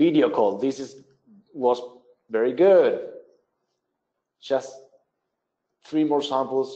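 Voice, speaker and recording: Speaking very slowly with long, frequent pauses, a man with a non-native accent keeps a medium pitch and ordinary pitch variation. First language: not English. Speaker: webinar presenter, business development. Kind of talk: software tutorial webinar. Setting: online webinar.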